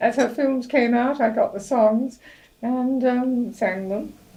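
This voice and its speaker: A woman talks at a very slow pace. Her tone is dark, mellow and somewhat breathy. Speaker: elderly interviewee. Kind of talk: reminiscence interview.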